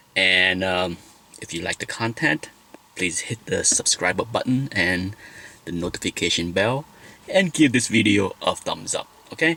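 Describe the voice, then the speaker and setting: Lively intonation in a Vietnamese accent, at a fairly slow pace with long, frequent pauses, in a dry, close sound with no echo. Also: man. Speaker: vlogger. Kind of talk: personal vlog talk.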